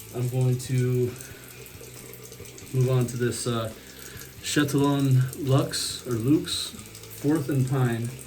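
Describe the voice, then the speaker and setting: The speaker takes a very slow pace with long, frequent pauses and a relaxed tone. Noticeable background noise sits behind the voice. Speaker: shaving video creator. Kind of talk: tutorial-style shave demo. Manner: throat clearing; relaxed, unhurried.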